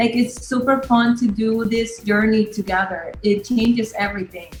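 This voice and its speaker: Over music in the background, a woman speaks at a moderate pace with a fairly high pitch. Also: fairly even intonation. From Nicaragua. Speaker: app co-founder. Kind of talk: interview.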